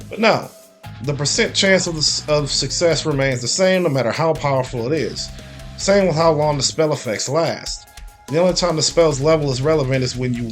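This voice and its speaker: Lively intonation from a man at a medium pitch and fairly quick pace, with music in the background. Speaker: video game reviewer. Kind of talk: video game review voice-over. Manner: occasional stuttering, somewhat awkward line readings.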